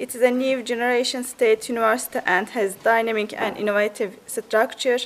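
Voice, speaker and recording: A woman talks in a high voice with a Turkish accent. Her pitch varies an ordinary amount. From Turkey. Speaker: university representative. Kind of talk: presentation. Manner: halting.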